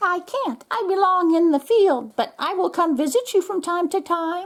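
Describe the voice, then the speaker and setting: At a moderate pace, a squeaky, put-on character voice speaks at an extremely high pitch. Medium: read story.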